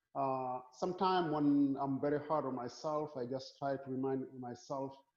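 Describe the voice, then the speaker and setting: A man speaks at a moderate pace with a Senegalese accent, his pitch sitting fairly high. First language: Wolof. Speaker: physics professor. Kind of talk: casual interview. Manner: repeats words often.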